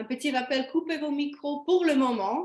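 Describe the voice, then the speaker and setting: The speaker is a woman with a Slovenian accent. She talks at a very slow pace with ordinary pitch variation. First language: Slovene (speaking French). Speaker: webinar presenter. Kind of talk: webinar presentation. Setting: video call. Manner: halting.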